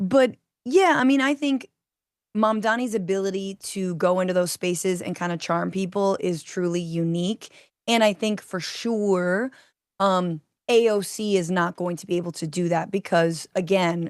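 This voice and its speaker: Against a quiet background, a woman with an ordinary speaking voice talks at a moderate pace, her medium pitch showing ordinary pitch variation. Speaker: progressive political commentator. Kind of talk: casual debate chat. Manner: casual, slangy.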